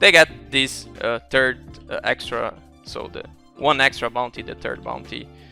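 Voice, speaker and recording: Over music in the background, a man with a non-native accent speaks fairly slowly in a fairly high voice. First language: not English. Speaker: esports coach. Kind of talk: game analysis commentary.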